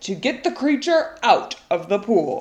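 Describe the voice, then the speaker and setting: A woman's loud, shouted put-on character voice, high-pitched with very wide pitch swings. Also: fairly slow pace. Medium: read story. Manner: loud, shouting.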